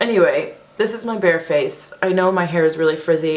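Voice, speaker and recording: There is audible room echo and noticeable background noise. Through it, a woman talks at a moderate pace. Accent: American. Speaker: beauty vlogger. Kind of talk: casual makeup tutorial chat. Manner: chatty, rambling, filler-heavy.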